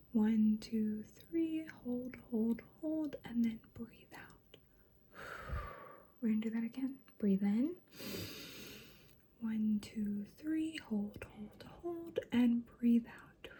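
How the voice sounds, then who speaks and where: Over noticeable background noise, a soft-spoken woman whispers at a very slow pace, with big swings in loudness. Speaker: ASMR creator playing a doctor. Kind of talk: ASMR doctor roleplay. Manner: whispered, soft-spoken.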